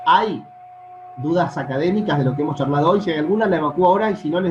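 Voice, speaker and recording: With music in the background and audible room echo, a man speaks at a very fast pace with ordinary pitch variation. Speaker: law professor. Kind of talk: online lecture. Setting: video call. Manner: soft-spoken. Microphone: sometimes sounds quiet to students.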